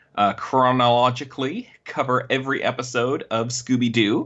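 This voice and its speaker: A man at medium pitch and moderate pace, with a slight Canadian accent. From Canada. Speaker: podcast guest. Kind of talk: casual chat. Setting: remote recording over internet.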